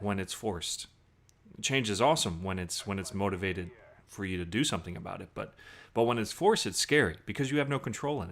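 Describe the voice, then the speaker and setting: In a very clean recording with a silent background, a man with a slight Southern US accent speaks at a fairly low pitch with ordinary pitch variation. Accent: slight Southern twang. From US South, Southern Virginia. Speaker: gaming commentator, military veteran. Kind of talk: gameplay commentary with personal story. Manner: casual, hesitant with fillers.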